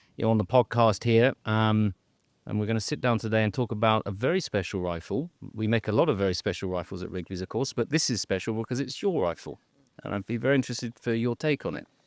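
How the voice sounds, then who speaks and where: With an English accent, a man speaks very fast at a medium pitch and ordinary pitch variation, the sound dry and close with no echo. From England. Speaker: managing director of a gunmaker, podcast host. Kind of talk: casual interview chat. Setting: on safari in the bush.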